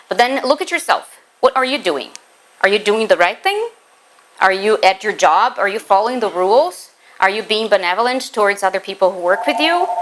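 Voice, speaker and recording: With a Portuguese accent, a woman speaks at a fairly high pitch with lively intonation. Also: fairly quick pace. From Brazil. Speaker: spiritist lecturer, teacher. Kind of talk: lecture.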